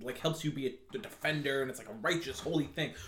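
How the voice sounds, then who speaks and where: At a moderate pace, a man speaks in a normal speaking voice pitched fairly high. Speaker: podcast host. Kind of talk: casual chat.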